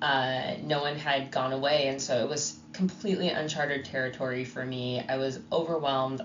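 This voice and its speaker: Very deep and low, this woman's voice has ordinary pitch variation. Audible room echo and noticeable background noise are present. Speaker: podcast co-host and bassoon teacher. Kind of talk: casual chat.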